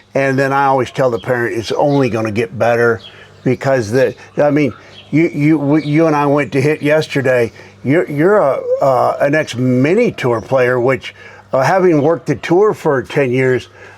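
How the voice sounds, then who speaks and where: There is noticeable background noise behind a man with a fairly high pitch. He keeps a moderate pace, ordinary pitch variation and very even loudness. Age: 60s. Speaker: golf club company founder. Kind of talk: casual chat. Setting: tour van.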